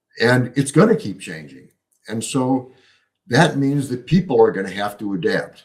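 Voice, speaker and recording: A man speaks at a medium pitch and a moderate pace. His pitch swings very widely. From US Midwest, Chicago. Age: 70s. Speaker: economist and author. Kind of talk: podcast interview.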